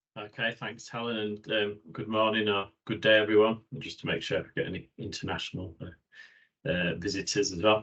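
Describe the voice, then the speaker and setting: Fairly low in pitch, a man speaks at a moderate pace with hardly any pauses, fairly even intonation and big swings in loudness. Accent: Yorkshire. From Yorkshire, northern England. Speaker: occupational hygienist, professional body president-elect. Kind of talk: webinar presentation. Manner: hesitant, many fillers.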